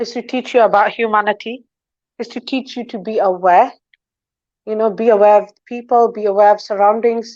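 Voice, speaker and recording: At a moderate pace, a woman speaks with fairly high pitch and fairly even intonation. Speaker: talk show guest. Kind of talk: interview, advice-giving monologue. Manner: loud; confident.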